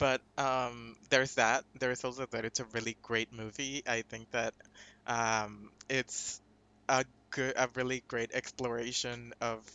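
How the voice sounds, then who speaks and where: At a fairly slow pace, the speaker talks with a Spanish accent in a monotone, flat intonation. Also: man, medium pitch for a man. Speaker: podcast guest, film fan. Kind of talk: casual film discussion podcast.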